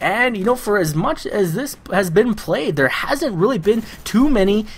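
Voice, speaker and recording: Over noticeable background noise, a man speaks at a moderate pace in a high pitch. He sounds enthusiastic, with lively intonation. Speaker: MLG shoutcaster. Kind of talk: live video game shoutcasting commentary. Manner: fluent, enthusiastic play-by-play.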